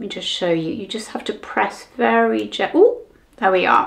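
A woman talks with a British accent. Her pace is moderate. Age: 60s. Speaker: beauty vlogger. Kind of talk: product review tutorial. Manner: animated. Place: home room.

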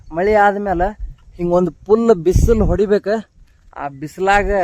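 A man's high-pitched voice in monotone, flat intonation, with noticeable background noise. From Dharwad, North Karnataka, India. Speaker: village vlogger and kabaddi player. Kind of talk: casual vlog walkthrough.

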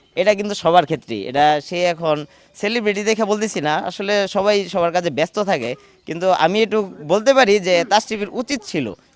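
A man speaks in a high pitch with lively intonation. Background noise is noticeable. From rural Bangladesh, the preacher's home area. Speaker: local resident, interviewee. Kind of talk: on-location interview.

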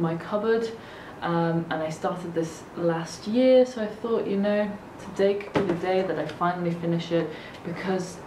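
The voice has ordinary pitch variation. Noticeable background noise runs underneath. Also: woman. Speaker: vlogger. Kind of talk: casual vlog chat. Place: home room.

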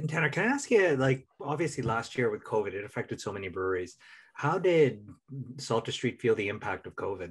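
A somewhat breathy man with an American accent talks at a fairly quick pace, his pitch swinging very widely. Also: medium pitch for a man. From Minnesota, US. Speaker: podcast co-host. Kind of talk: casual chat.

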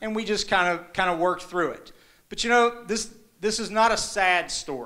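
Someone talks in an Appalachian accent over a quiet background. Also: man. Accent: Appalachian American. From eastern Kentucky and southern Ohio. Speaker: journalist. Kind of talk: live storytelling performance. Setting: live stage, audience. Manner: casual, conversational. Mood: warm, humorous, reflective. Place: stage. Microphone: handheld.

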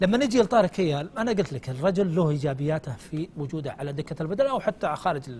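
A man with a plain, everyday voice talks at a fairly quick pace, his fairly high pitch moving in lively intonation. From Saudi Arabia. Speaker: sports commentator. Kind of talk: TV studio discussion. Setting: studio. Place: studio. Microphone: lapel.

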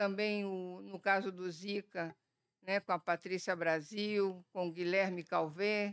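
A woman with a Bahian accent, medium pitch, fairly even intonation and a very slow pace, against a quiet background. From Brazil, Bahia. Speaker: virologist; panelist. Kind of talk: panel talk. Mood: warm, reminiscent. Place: hall. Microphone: podium.

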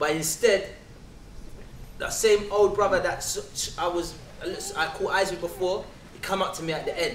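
Speaking with a London accent, a man with a high voice keeps a moderate pace and fairly even intonation amid light background noise and audible room echo. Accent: London English, multicultural London. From England, south London. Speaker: spoken word performer. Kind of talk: testimony. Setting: stage with audience. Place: hall.

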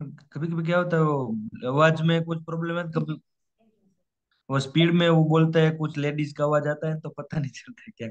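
With an ordinary speaking voice, a man talks at a moderate pace, his pitch fairly high and his intonation fairly even. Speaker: student preparing for English exam. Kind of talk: online tutoring session.

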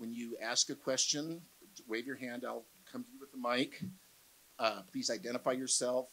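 A man talking at a fairly quick pace. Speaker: panel moderator. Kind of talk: event introduction to audience. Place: hall. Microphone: handheld.

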